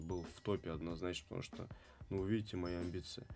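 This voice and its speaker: His voice is very deep and low. He talks at a fairly quick pace. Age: 30s. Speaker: dance studio founder and breakdancer. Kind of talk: casual interview chat. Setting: studio. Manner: animated.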